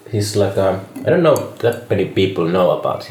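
A man with a Finnish accent, over noticeable background noise. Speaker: podcast host. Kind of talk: casual chat.

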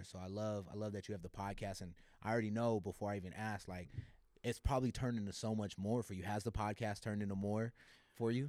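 At a fairly quick pace, a man with an American accent speaks in a dark, mellow tone at a fairly low pitch with fairly even intonation. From California (born Los Angeles, raised San Jose). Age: 30s. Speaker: entrepreneur. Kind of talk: casual chat.

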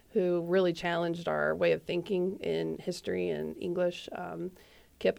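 A woman talks with a Midwestern American accent. Her pace is moderate. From US Midwest, Indiana. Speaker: nonprofit deputy director. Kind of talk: radio interview. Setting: studio.

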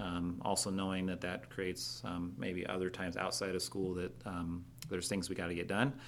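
A man with a Midwestern US accent talks at a very deep, low pitch with vocal fry and ordinary pitch variation. His pace is moderate, with audible room echo. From western Iowa. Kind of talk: casual interview.

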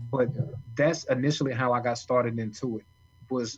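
Intonation stays monotone and flat throughout. There's a somewhat breathy quality to the voice. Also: man. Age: 30s. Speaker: author and kidney transplant recipient. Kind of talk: interview storytelling.

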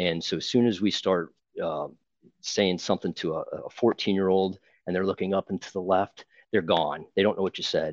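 A man speaks at a moderate pace with a very deep, low pitch and fairly even intonation. The sound is dry and close with no echo, over a quiet background. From Ohio, Akron. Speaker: youth baseball coach. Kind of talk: interview podcast. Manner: hesitant, repeats words.

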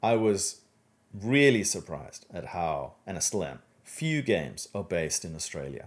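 A man with a fairly low pitch and vocal fry speaks at a moderate pace. Both his pitch and his loudness swing widely. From South Africa. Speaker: game studio co-founder and game director. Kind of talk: podcast interview.

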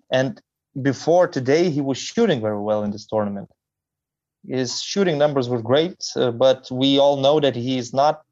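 A man with a Lithuanian accent, against a quiet background. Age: young. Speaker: basketball commentator. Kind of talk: casual chat. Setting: video call. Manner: slow.

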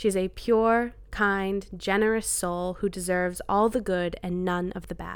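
A woman with a Maritime Canadian accent speaks at a fairly slow pace in a medium pitch, her intonation monotone and flat, on a very clean recording with a silent background. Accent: Canadian (Maritimes). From New Brunswick, Canada. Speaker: personal essayist. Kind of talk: reading aloud.

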